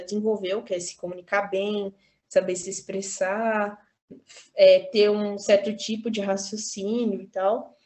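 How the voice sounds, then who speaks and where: A woman speaks at a medium pitch and a fairly slow pace, her intonation monotone and flat and her loudness swinging widely. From Brazil, São Paulo (Capão Redondo). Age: 20s. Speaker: university student and activist. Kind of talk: casual interview.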